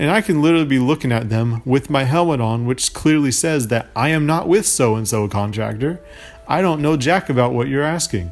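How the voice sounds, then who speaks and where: Over music in the background, a man with a fairly high pitch speaks at a moderate pace with lively intonation. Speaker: podcast host and construction site tester. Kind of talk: casual chat. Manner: long pauses.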